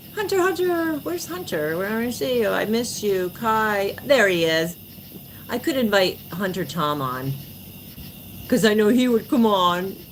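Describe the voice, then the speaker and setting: Audible room echo surrounds a woman with an American accent who speaks at a fairly slow pace and medium pitch with very wide pitch swings. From New York (born New Jersey). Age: 40s. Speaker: livestreamer. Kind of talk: casual livestream chat. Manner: animated.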